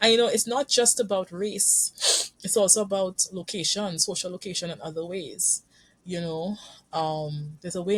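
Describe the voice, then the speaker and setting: A woman's somewhat breathy voice sits at a medium pitch with ordinary pitch variation, dry and close with no echo. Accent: Caribbean. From Trinidad and Tobago. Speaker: couples therapist. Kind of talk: podcast interview. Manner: halting, with frequent repetitions.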